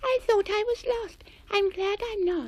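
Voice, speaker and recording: A female-sounding put-on character voice, squeaky and extremely high-pitched, moves at a moderate pace. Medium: read story.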